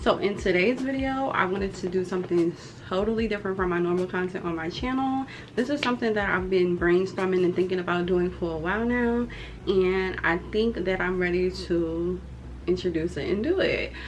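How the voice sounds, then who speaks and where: A woman talks at a fairly quick pace in a medium pitch with ordinary pitch variation. Noticeable background noise runs behind her. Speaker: YouTuber and criminal justice student. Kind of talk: casual vlog talk to camera. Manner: hesitant, filler-heavy.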